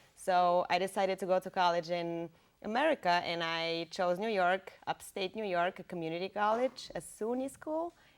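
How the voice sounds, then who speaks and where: On a very clean recording with a silent background, the speaker talks at a moderate pace in a Bulgarian accent with ordinary pitch variation. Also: woman, medium pitch for a woman. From Bulgaria, Sofia. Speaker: TV co-host. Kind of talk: TV interview chat.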